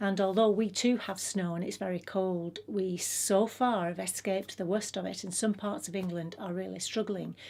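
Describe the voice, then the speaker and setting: A woman with an English accent, medium pitch, fairly even intonation and a moderate pace, on a very clean recording with a silent background. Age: 60s. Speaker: lifestyle vlogger. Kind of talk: casual vlog talk. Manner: hesitant, many fillers.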